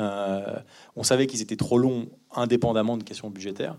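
Medium in pitch, a man's voice has a dark, mellow tone. He speaks at a moderate pace. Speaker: film producer. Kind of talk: post-screening Q&A. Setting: stage with audience.

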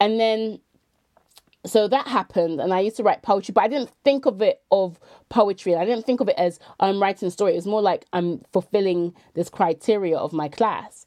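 With a dark, mellow tone and ordinary pitch variation, the voice moves at a fairly quick pace in a dry, close sound free of echo. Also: woman, medium pitch for a woman. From Bristol, England. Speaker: poet and activist. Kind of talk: interview conversation.

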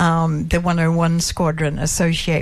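Noticeable background noise surrounds a woman with an Australian accent. She talks at a very slow pace in a fairly low pitch. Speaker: daughter of a war veteran. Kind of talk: radio interview. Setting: studio.

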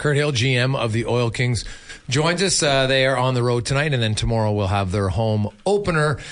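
In a Canadian accent, a man with an unremarkable speaking voice talks at a moderate pace and medium pitch, his intonation lively and his loudness very even. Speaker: radio host. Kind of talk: live radio sports talk show. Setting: studio.

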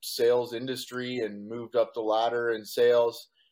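A man with a Canadian accent, medium pitch and a fairly slow pace. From Canada, rural Ontario. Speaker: entrepreneur and author. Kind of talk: interview. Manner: halting, many fillers.

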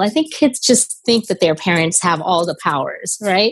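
A woman has a normal speaking voice at a medium pitch. Her intonation is lively. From India, moved to US at 10. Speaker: immigration lawyer. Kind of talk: interview conversation.

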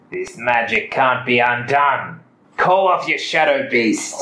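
Here is a put-on character voice. It moves at a fairly slow pace. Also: man, fairly high pitch for a man. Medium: actual play. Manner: terse, demanding.

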